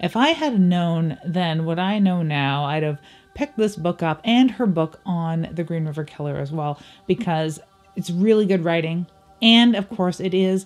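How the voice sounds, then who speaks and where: Faint music plays behind a woman speaking at a fairly slow pace. Her pitch is fairly low, with ordinary variation. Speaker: book reviewer. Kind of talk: casual book review vlog. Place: home room.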